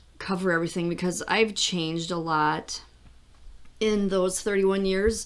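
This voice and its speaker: Fairly slow speech from a woman with an unremarkable speaking voice, medium pitch, and ordinary pitch variation. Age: 50s. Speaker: podcast host. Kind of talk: personal podcast monologue.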